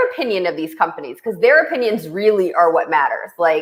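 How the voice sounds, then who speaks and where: A woman speaks loudly. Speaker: show host and venture investor. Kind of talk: casual chat.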